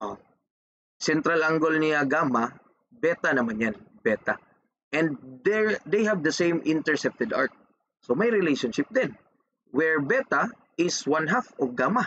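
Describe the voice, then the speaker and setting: A fairly high-pitched man speaks at a fairly slow pace, with long, frequent pauses and very wide pitch swings. The sound is dry and close, with no echo. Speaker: engineering math teacher. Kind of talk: lecture.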